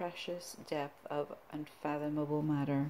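A quiet woman's voice, very deep and low-pitched, with a dramatic tone, flat monotone intonation, a very slow pace and light background noise. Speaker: poet and belly dancer channel creator. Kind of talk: poetry reading, solemn performed verse between casual chatty intros. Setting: home video, self-recorded. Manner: slow, deliberate, hushed dramatic delivery of the poems; casual, rambling, halting between poems. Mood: quiet, somber. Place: home room. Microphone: phone near.

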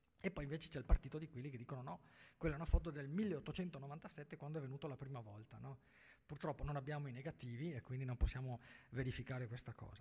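A man speaks at a very fast pace with ordinary pitch variation. His somewhat breathy voice shows big swings in loudness. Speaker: journalist and writer on Venetian history; journalist. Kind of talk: panel discussion. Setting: stage with audience. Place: hall.

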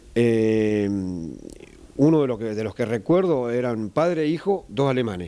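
Here a man talks at a fairly slow pace. He leaves long, frequent pauses. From Argentina. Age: 50s. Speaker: traditional metal craftsman. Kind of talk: interview. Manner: halting, many fillers. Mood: calm, reflective. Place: workshop. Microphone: handheld.

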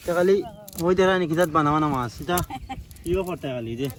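A man talks at a high pitch with noticeable background noise behind him. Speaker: vlogger. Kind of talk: outdoor vlog narration. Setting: outdoors.

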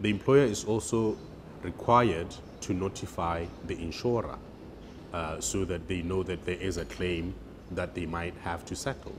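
The somewhat breathy voice comes through noticeable background noise. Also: man. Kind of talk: interview answer. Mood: calm explanatory. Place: office. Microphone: lapel.

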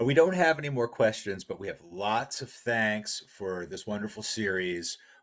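Fairly low in pitch, this man speaks with lively intonation in a plain, everyday voice. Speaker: webinar host. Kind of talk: webinar host introductions and Q&A. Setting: webinar.

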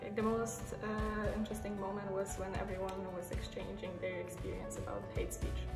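A woman talking at a fairly quick pace with hardly any pauses, clear music in the background. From Poland. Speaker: youth project participant. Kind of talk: interview answer. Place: home room. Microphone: phone near.

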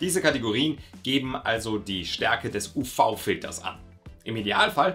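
Faint background music accompanies a man's speech. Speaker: mountain sports educator. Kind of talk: explainer to camera.

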